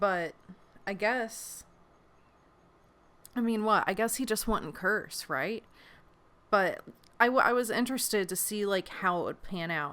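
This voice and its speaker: With an American accent, a woman speaks at a medium pitch in a bright, sharp tone, leaving long, frequent pauses. The recording is very clean with a silent background. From West Virginia. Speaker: variety show host and creator. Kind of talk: casual monologue. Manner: animated, self-correcting.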